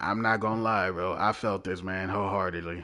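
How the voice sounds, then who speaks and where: A man with a fairly low pitch talks in a bright, sharp tone and fairly even intonation. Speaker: gaming livestreamer. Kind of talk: live gaming stream chat. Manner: slow.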